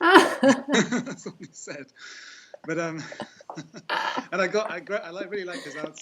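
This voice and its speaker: Speaking in a raised, projected voice, a man with a high pitch moves at a fairly slow pace, leaving long, frequent pauses and making very wide pitch swings. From England, Norwich. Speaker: caller on a live spiritual broadcast. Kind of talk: casual chat. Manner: halting.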